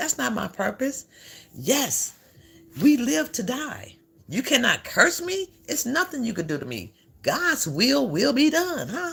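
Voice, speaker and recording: Here a woman speaks at a high pitch with very wide pitch swings. Her pace is fairly slow. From Chicago, raised; born in Alabama. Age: 60s. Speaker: livestream host. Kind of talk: casual livestream chat.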